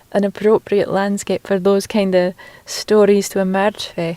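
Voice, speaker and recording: A woman with a Shetland accent speaks at medium pitch in a monotone, flat intonation, her tone dark and mellow, the sound dry and close with no echo. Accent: Shetland Scottish. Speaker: poet. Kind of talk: casual interview. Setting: outdoors. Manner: halting.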